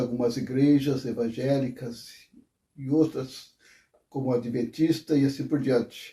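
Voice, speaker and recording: A somewhat breathy man's voice of medium pitch and dark, mellow tone, at a fairly slow pace with ordinary pitch variation. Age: 70s. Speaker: former Jehovah's Witness. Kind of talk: testimony. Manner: hesitant, with fillers.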